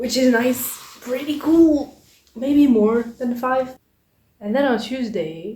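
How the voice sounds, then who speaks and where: A woman speaks very slowly in a dark, mellow tone, her high pitch showing ordinary variation. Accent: French. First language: French. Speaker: vlogger. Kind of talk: casual vlog chat. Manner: casual, conversational.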